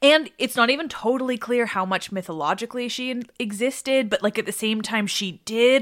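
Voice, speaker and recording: A woman with a Canadian accent has an unremarkable speaking voice. She talks at a fairly quick pace with ordinary pitch variation. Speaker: mythology podcaster and author. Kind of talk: casual chat. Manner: giggly, casual.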